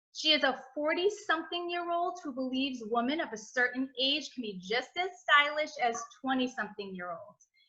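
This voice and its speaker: With an American accent, this voice is raised and projected, with a bright, sharp tone. The intonation is lively and the pace fairly quick. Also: woman. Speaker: podcast host. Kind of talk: podcast interview.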